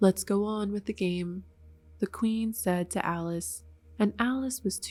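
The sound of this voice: Reading done in an unforced voice.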